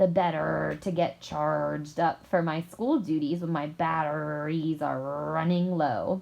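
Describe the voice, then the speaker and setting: A woman puts on a character voice, growling in a very deep, low pitch. She speaks at a fairly slow pace with hardly any pauses. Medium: read story.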